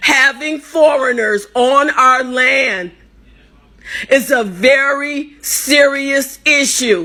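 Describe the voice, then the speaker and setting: With noticeable background noise behind her, a woman with an American accent speaks in a raised, projected, high-pitched voice. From United States. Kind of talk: impassioned personal talk.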